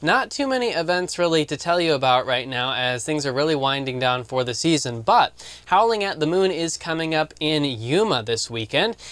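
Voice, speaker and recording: A man with a plain, everyday voice, fairly high in pitch, with lively intonation, a moderate pace and hardly any pauses. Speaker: news host. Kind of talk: news report.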